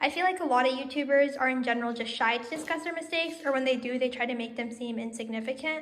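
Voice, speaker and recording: Amid audible room echo, a woman talks at a very fast pace in a high pitch. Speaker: pet vlogger. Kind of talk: casual vlog talk. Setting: home, with pet rabbits.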